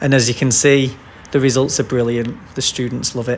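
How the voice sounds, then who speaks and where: The man talks at a medium pitch. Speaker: English teacher. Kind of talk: self-introduction video. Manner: fast.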